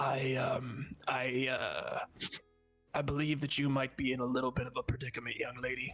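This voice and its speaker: Over faint music in the background, a man puts on a raspy character voice. He keeps a medium pitch and a moderate pace. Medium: actual play. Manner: unexpected, eerie.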